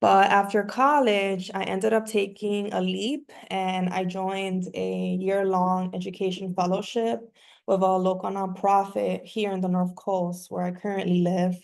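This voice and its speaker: Speaking at a fairly slow pace with hardly any pauses, a woman keeps a medium pitch and fairly even intonation. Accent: Spanish. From New York and Miami, Dominican family. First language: Spanish. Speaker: community organizer and workshop facilitator. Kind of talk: online workshop talk, personal story.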